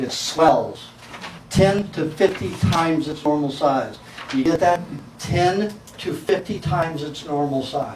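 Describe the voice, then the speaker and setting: A fairly high-pitched man at a fairly slow pace, ordinary pitch variation, audible room echo and noticeable background noise. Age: 60s. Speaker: raw food diet lecturer. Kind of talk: lecture.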